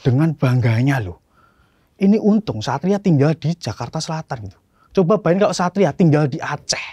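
In a quiet background with a dry sound and no echo, a man talks at a fairly quick pace with lively intonation and big swings in loudness. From Solo, Central Java; Central Java, Indonesia. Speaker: stand-up comedian. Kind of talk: stand-up. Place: stage. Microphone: handheld.

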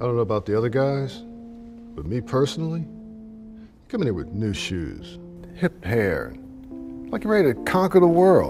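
Clear music plays in the background as the speech moves at a moderate pace with long, frequent pauses. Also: man. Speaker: actor. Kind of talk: film/TV drama scene. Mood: wry, somewhat dismissive. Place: hall.

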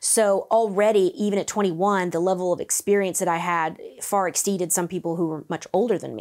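A woman talks at a fairly quick pace with hardly any pauses. Her intonation stays fairly even against a quiet background. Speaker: vocal coach. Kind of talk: interview answer. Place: studio. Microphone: lapel.

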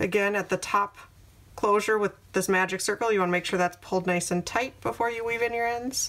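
A woman's medium-pitched voice at a fairly quick pace, with fairly even intonation. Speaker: crochet tutorial creator. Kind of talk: tutorial.

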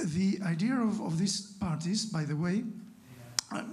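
The voice has a Spanish accent and ordinary pitch variation. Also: man. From Spain, La Rioja. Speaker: academic discussant; audience member. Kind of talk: academic discussion. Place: hall. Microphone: handheld.

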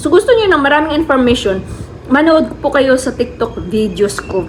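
High-pitched female speech at a moderate pace, lively in intonation, against noticeable background noise. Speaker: travel vlogger. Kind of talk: casual vlog talk.

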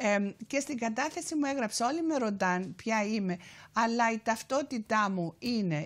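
A woman with a Cypriot accent, fairly high pitch, lively intonation and a fairly slow pace. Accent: Cypriot Greek. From Cyprus, Famagusta; Cyprus. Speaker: activist and author; guest. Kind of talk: TV interview. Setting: TV studio. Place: studio. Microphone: lapel.

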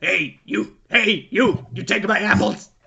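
A man puts on a gruff character voice pitched high. He speaks at a very slow pace. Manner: angry, scolding.

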